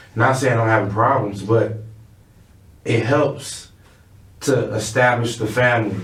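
A man with an American accent, fairly low pitch, fairly slow pace and fairly even intonation, with audible room echo. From Chicago West Side. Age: 30s. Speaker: music artist. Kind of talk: casual interview.

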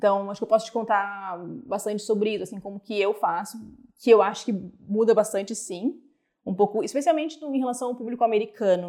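Recorded very cleanly against a silent background, a woman with a fairly high pitch and a dark, mellow tone talks at a fairly quick pace, her loudness swinging widely while her pitch varies in an ordinary way. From Brazil. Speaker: product manager. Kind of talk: interview conversation.

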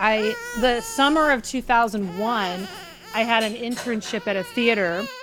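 With noticeable background noise behind her, a woman with an American accent speaks at a fairly slow pace and a fairly high pitch, with ordinary pitch variation. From US Pacific Northwest, Oregon. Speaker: witch, author and tarot adviser. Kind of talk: casual chat.

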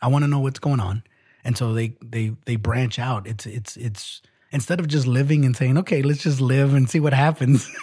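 At a medium pitch, a man speaks with a somewhat breathy, dark and mellow tone. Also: ordinary pitch variation, moderate pace. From Mexican heritage. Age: 40s. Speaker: podcast co-host. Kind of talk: casual chat.

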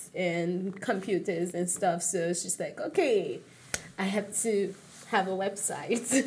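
A woman's very slow voice with ordinary pitch variation. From Nigeria (Lagos). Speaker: event planner, university student. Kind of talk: interview.

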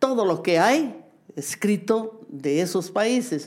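Her tone is dark and mellow. The woman's pitch moves in an ordinary way. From Bolivia. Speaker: dancer and choreographer. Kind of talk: interview. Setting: at home.

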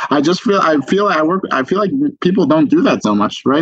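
A man with an American accent, fairly high-pitched, very fast, with lively intonation and vocal fry. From Boston, US and Israel. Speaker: singer-songwriter. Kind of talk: casual interview chat.

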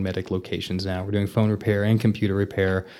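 Very fast and monotone with flat intonation, a man with a Texan accent speaks in a dark, mellow tone at a fairly low pitch, on a very clean recording with a silent background. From Vernon, Texas. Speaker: novelist and repair business owner. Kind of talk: interview.

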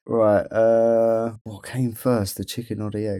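In a very clean recording with a silent background, a man with an English accent speaks at a medium pitch in a dark, mellow tone. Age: 30s. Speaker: podcast co-host with type 1 diabetes. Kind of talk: casual chat.

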